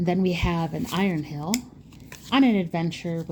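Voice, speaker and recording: A woman with a fairly low pitch, vocal fry, ordinary pitch variation and a moderate pace. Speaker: card game content creator. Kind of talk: pack opening video.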